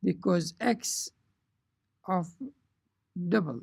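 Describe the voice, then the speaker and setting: At a very slow pace, a woman talks in a somewhat breathy voice. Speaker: programming teacher. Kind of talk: tutorial.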